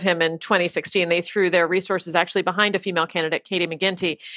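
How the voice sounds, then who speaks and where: A bright, sharp tone with an American accent. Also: woman, very clean recording, silent background. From Pennsylvania, US. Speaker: magazine writer. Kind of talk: casual interview chat. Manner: fast talker.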